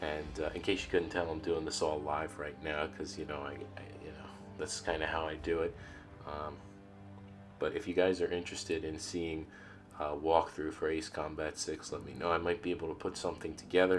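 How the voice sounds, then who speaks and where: Music plays in the background as a man speaks at a fairly quick pace. His pitch is very deep and low, with fairly even intonation. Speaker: gaming YouTuber. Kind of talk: casual talk to camera. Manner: hesitant, many filler words.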